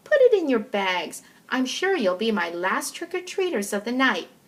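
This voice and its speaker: Using a put-on character voice, a woman speaks at a moderate pace and high pitch with very wide pitch swings. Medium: read story.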